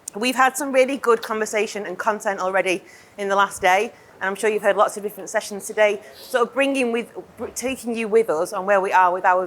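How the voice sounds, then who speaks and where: A woman rushes along at a very fast pace, her medium-pitched voice showing ordinary pitch variation. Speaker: company manager presenting to partners. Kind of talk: conference presentation. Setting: stage with audience, listeners on headsets. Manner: loud.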